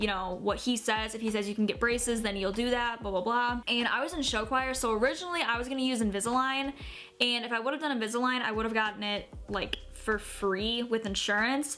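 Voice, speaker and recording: A woman speaks at a fairly quick pace in a fairly high pitch. Her intonation shows ordinary pitch variation. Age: 20s. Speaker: YouTuber. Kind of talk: casual vlog. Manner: casual, filler-heavy.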